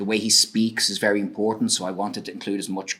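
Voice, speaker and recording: A man with an Irish accent, fairly low in pitch and fairly quick in pace. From Ireland. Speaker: researcher. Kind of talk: lecture. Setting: stage with audience.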